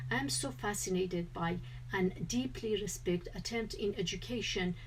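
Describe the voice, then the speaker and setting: Audible room echo surrounds the recording. A woman speaks in a Kurdish accent. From Kurdistan. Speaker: researcher presenting at a conference. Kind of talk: conference presentation. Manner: formal.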